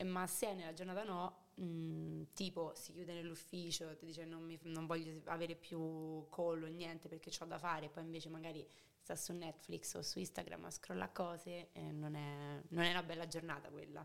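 A woman's fairly low voice in a flat monotone. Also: moderate pace. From Rome, Italy. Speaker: podcast guest. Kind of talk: casual chat.

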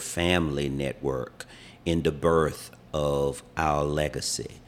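Here a man talks with an American accent. His intonation is fairly even. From US South, Wilmington, North Carolina. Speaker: civil rights activist and Navy veteran. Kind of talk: interview. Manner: formal.

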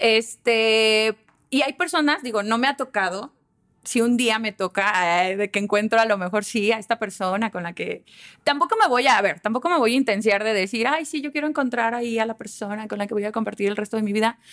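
A woman's normal speaking voice, fairly high in pitch with ordinary pitch variation, at a fairly quick pace, in a dry, close sound with no echo. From Aguascalientes, Mexico. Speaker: communication consultant. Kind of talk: casual chat.

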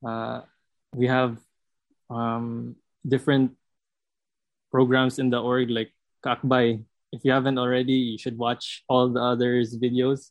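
The speech comes in a Visayan Filipino accent at a fairly slow pace. The intonation is monotone and flat, with long, frequent pauses. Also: man, medium pitch for a man. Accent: Filipino (Cebuano) English. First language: Cebuano. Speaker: student podcast co-host. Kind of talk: casual chat.

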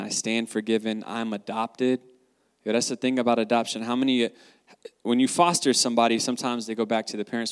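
A man at a fairly quick pace, in a dry, close sound with no echo. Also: very clean recording, silent background. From US South, North Carolina. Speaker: guest sharing faith testimony. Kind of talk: testimony. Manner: animated.

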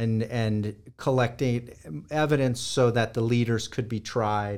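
A man speaks with a Californian accent. His pace is fairly slow. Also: very clean recording, silent background. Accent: General American (Californian). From US West Coast (Los Angeles). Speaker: historian and war crimes investigator. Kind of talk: interview.

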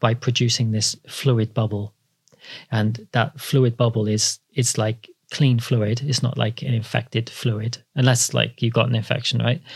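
Speaking at a fairly slow pace in a South Wales accent, a man uses vocal fry, monotone, flat intonation, and very even loudness. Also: medium pitch for a man. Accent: South Welsh (Cardiff). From Wales, Cardiff. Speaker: podiatrist. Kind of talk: interview, casual explanatory chat.

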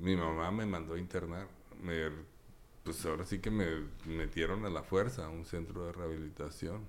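A man with a very deep, low voice speaks at a moderate pace with fairly even intonation, pausing long and often, and the room echo is audible. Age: 50s. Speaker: recovering addict and psychologist. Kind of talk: testimony.

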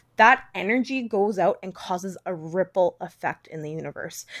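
A woman with a Western Canadian accent and lively intonation, on a very clean recording with a silent background. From Canada, British Columbia (Langley). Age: 20s. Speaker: podcaster. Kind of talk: solo monologue. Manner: casual, rambling with fillers.

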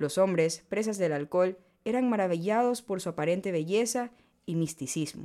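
A woman talks at a moderate pace in a medium pitch with ordinary pitch variation. Her tone is dark and mellow. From Ecuador, Manabí coast. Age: 20s. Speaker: podcast host, economist. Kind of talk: reading aloud a legend. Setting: studio.

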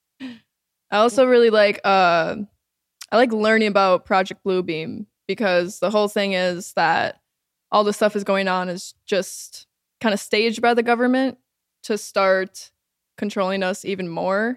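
A woman with an American accent speaks at a medium pitch in a plain, everyday voice, at a fairly slow pace with fairly even intonation. The recording is very clean, with a silent background. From Minnesota, Lakeville. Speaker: singer and songwriter. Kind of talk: casual chat.

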